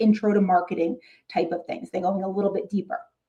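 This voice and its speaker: A woman speaks in a New York accent with a dark, mellow tone. Her voice is somewhat breathy, with ordinary pitch variation. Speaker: middle school marketing teacher and YouTuber. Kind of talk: casual talk to fellow teachers. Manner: animated.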